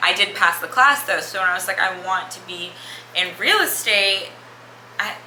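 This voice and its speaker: Amid noticeable background noise and audible room echo, a woman of medium pitch talks at a moderate pace with ordinary pitch variation. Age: 20s. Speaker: lifestyle vlogger. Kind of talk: casual chat. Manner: rambling, conversational.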